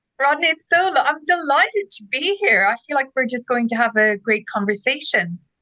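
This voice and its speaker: An enthusiastic woman with an Irish accent and a high pitch projects a raised, bright, sharp voice with very wide pitch swings, talking at a fairly quick pace with hardly any pauses. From Ireland, Dublin. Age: 40s. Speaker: ed-tech co-founder, former teacher. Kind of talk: interview.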